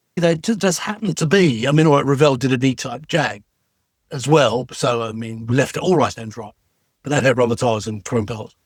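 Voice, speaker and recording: With an English accent, a man talks at a fairly quick pace, his medium-pitched voice carrying lively intonation. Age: 70s. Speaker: retired TV special effects designer. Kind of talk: casual interview chat.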